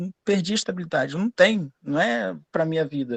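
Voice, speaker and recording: A man with a Rio de Janeiro accent is heard in a dry, close sound with no echo. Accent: Rio de Janeiro (carioca). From Brazil, Rio de Janeiro. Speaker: student in an online class, lawyer. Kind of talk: casual personal story in live class. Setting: live online class.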